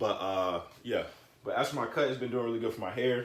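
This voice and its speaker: Soft-spoken, a man with an American accent talks amid audible room echo. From US South. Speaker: YouTuber, hair care vlogger. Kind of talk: casual vlog tutorial. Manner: soft-spoken, quiet; casual, rambling with fillers.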